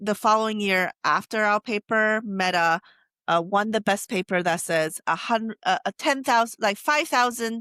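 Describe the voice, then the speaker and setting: A woman speaks at medium pitch in a Taiwanese accent, her tone bright and sharp, her pace fairly slow, with ordinary pitch variation and very even loudness. The sound is dry and close with no echo, a very clean recording against a silent background. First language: Taiwanese Hokkien. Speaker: AI researcher. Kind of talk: interview. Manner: halting, many self-corrections.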